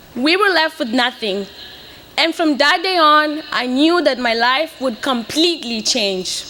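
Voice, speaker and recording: Raised and projected, a woman's high voice carries lively intonation in a Portuguese accent over noticeable background noise. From Mozambique (Beira). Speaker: graduating student speaker. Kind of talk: commencement speech. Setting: stage with audience.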